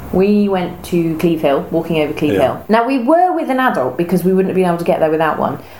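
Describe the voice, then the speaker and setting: A woman with an English accent speaks in a fairly low pitch. Noticeable background noise runs behind her. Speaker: podcast co-host. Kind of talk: casual chat.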